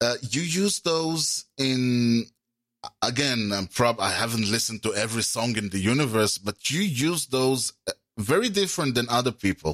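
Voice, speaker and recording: A man with an Israeli accent talks at a moderate pace. His medium-pitched voice has lively intonation. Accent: Hebrew-accented English. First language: Hebrew. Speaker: podcast host and interviewer. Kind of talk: interview. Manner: hesitant, with fillers.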